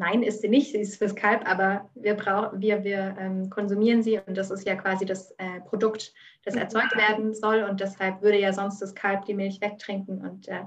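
Somewhat breathy and at a moderate pace, a woman speaks in a medium pitch with monotone, flat intonation. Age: 20s. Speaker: vegan cooking expert. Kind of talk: interview.

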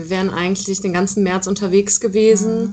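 Through noticeable background noise, a woman speaks at medium pitch and a moderate pace with monotone, flat intonation. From Rhineland, Germany (Aachen area). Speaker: rock band musician. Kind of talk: interview. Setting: internet call.

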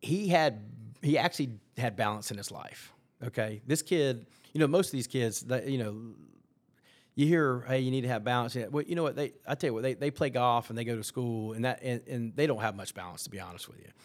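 A man with an American accent and a plain, everyday voice, medium in pitch with ordinary variation, at a fairly quick pace on a very clean recording with a silent background. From US South, North Carolina (Gastonia). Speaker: former college golf coach. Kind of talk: casual interview.

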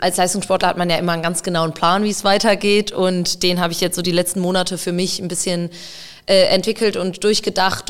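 Monotone and flat, a woman's medium-pitched voice moves at a fairly quick pace. Her intonation barely shifts. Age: 20s. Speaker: field hockey player and psychologist. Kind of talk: casual interview conversation.

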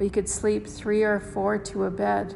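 This woman's voice has a warm tone. She talks at a fairly slow pace over noticeable background noise. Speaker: grandchild giving a family tribute. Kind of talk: reading aloud a personal written tribute, with a casual spoken intro. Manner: warm, reflective and sentimental; unhurried, with small pauses and fillers.

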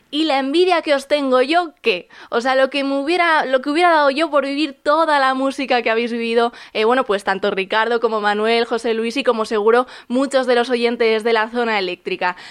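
A woman talks at a fairly quick pace in a high voice, with ordinary pitch variation and hardly any pauses. The recording is very clean, with a silent background. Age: 20s. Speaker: music podcaster and radio contributor. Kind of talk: prepared music recommendation segment.

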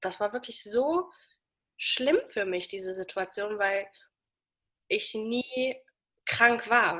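With a bright, sharp tone and medium pitch, a woman speaks at a very slow pace with ordinary pitch variation and long, frequent pauses. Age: 20s. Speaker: person living with diabetes, social media creator. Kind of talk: interview, casual chat.

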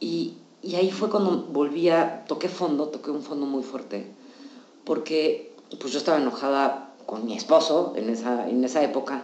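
With a Mexican accent, a woman talks in lively intonation while room echo is audible and background noise is noticeable. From Mexico. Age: 40s. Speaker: psychologist. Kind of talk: casual chat.

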